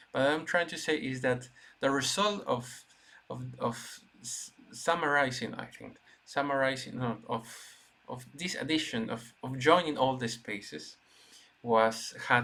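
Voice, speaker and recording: With a Spanish accent, a man talks at a fairly slow pace and medium pitch, with ordinary pitch variation, big swings in loudness, and long, frequent pauses. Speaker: gaming video creator. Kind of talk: gameplay commentary. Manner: halting, many restarts and fillers.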